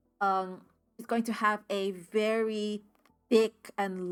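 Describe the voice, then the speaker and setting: Very clean audio against a silent background, with a bright, sharp tone. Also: woman. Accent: Spanish. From United States, Spanish-speaking immigrant family. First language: Spanish. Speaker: tabletop RPG player and streamer. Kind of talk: solo actual play game narration.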